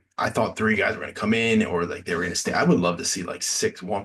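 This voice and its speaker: A man mumbles at a fairly quick pace. His pitch is very deep and low. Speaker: reality TV reaction host. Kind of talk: solo review commentary. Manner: mumbling; hesitant, many fillers and repeats.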